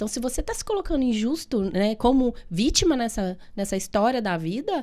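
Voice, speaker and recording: A woman with a Minas Gerais accent speaks at a fairly quick pace. Her tone is dark and mellow, with very wide pitch swings. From Minas Gerais, Brazil. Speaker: physiotherapist and therapist. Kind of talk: podcast interview.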